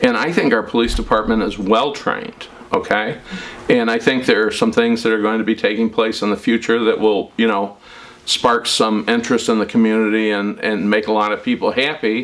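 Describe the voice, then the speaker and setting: Against noticeable background noise, a man with an American accent talks at medium pitch. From US Midwest, Chicago south suburbs. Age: 60s. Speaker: local politician. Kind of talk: interview. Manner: halting, with frequent fillers.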